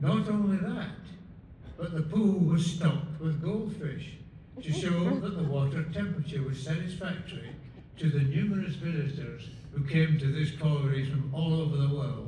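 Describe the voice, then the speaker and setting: With a Scottish accent, a man talks at a moderate pace, his pitch fairly high with ordinary variation. The recording has audible room echo and noticeable background noise. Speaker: award honoree, mining engineer. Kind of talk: acceptance speech.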